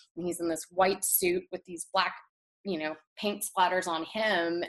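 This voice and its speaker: A woman with an American accent talks at a moderate pace in a fairly low pitch with ordinary pitch variation. Hers is an unremarkable speaking voice. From Texas. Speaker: portrait photographer. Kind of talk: interview.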